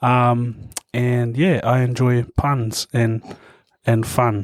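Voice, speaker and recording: This man talks at a very slow pace with a New Zealand accent. His medium-pitched voice stays monotone and flat. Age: 20s. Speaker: opera singer. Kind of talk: casual chat.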